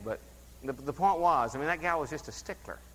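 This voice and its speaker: There's vocal fry in this man's bright, sharp tone. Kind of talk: sermon. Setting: church.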